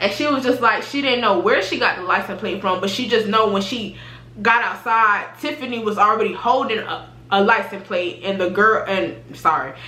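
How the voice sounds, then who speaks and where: Fairly high female voice amid noticeable background noise. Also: ordinary pitch variation, moderate pace. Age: 20s. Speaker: YouTuber. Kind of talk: casual storytime talk to camera.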